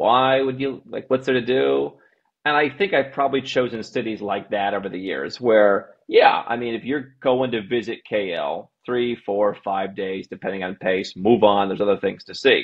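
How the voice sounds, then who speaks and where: Lively intonation marks this man's American accent. He keeps a moderate pace with hardly any pauses, against a quiet background. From United States. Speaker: global citizenship and tax consultant, company CEO; podcast guest. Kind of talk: casual interview. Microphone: earbuds.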